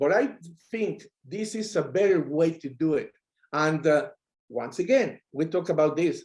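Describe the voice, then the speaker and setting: With a Mexican accent, a man speaks in an energetic tone at a high pitch, lively in intonation but at a fairly slow pace. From Mexico. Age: 60s. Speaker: affiliate marketer. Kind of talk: interview answer.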